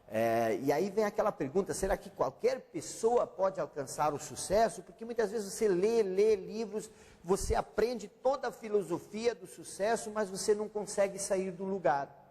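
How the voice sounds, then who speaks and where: The loudness swings widely while the pitch varies in an ordinary way, with hardly any pauses between words. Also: man, high pitch for a man, moderate pace. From Brazil, German-speaking family. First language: German (speaking Portuguese). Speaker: author and consultant. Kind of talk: interview.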